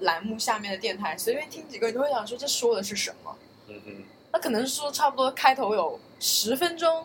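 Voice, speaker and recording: Noticeable background noise runs beneath talk delivered at a fairly quick pace. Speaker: podcast co-host. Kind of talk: casual chat.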